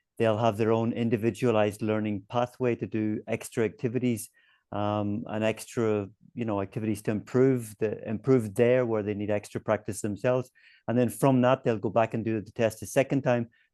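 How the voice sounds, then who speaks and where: In a strong Northern Irish accent, a man talks at a fairly quick pace and medium pitch, his tone dark and mellow and his intonation flat and monotone, in a dry, close sound with no echo and a quiet background. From Northern Ireland. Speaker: webinar host, education publisher representative. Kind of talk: webinar discussion.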